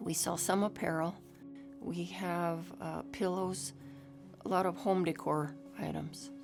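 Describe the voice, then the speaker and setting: Music plays in the background. The speaker uses lively intonation at a fairly slow pace. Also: woman. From Northern New Mexico. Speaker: weaver and wool shop owner. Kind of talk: documentary interview answer.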